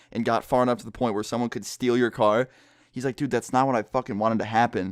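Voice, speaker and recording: A man speaks at a medium pitch and a very fast pace. The sound is dry and close with no echo, over a quiet background. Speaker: storytelling vlogger. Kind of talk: casual storytelling. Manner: quiet, kept down; animated.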